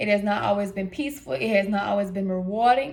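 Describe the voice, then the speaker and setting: There is audible room echo around a woman speaking with an American accent. Her pitch variation is ordinary. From US South, south side Atlanta, Georgia. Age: 20s. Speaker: vlogger, inspirational speaker. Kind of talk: casual vlog, personal testimony. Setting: hotel room.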